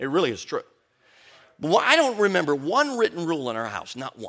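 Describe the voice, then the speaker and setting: A man with an American accent talks fairly quickly at a fairly high pitch, with very wide pitch swings. The recording is very clean, with a silent background. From US Midwest (Chicago, early years Colorado). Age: 50s. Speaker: preacher. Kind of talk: sermon. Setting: church conference with audience.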